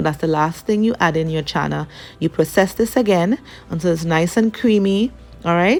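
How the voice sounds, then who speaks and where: At a moderate pace, a woman with a normal speaking voice uses lively intonation at a fairly low pitch. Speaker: cooking channel host. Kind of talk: cooking tutorial.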